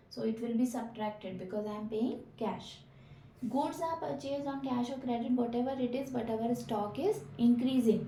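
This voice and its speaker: There is noticeable background noise and audible room echo. A woman speaks at a moderate pace in a fairly high pitch with ordinary pitch variation. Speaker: accountancy teacher. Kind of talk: lecture.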